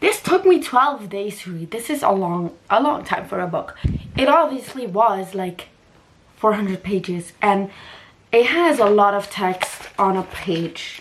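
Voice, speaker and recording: With a non-native accent, a woman of medium pitch talks at a fairly slow pace with lively intonation over noticeable background noise. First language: not English. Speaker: lifestyle and book vlogger. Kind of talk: casual vlog talk. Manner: animated.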